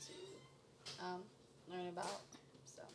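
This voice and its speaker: A woman speaks at a fairly slow pace, with audible echo from the room. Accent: American. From United States, Kenyan-born, moved at four. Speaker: panel guest. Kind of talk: casual discussion.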